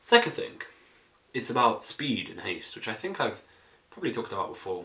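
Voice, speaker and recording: A fairly quick pace with big swings in loudness. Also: man. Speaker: vlogger. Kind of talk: casual vlog monologue.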